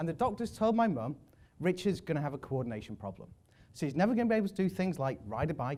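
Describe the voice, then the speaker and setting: A man speaks at a very fast pace. His high-pitched voice swings very widely in pitch. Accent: English. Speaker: public speaker. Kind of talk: talk to an audience. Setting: stage with audience.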